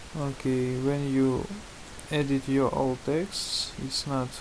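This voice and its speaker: Noticeable background noise sits behind a man with a non-native accent. He speaks at a very slow pace and a medium pitch. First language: not English. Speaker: tutorial maker. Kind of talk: tutorial. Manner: halting, many fillers.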